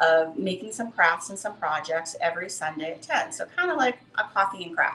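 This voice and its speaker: A woman at medium pitch, with lively intonation and a moderate pace, over light background noise. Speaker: craft studio owner hosting a live stream. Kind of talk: casual live-stream intro chat. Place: workshop. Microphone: camera far.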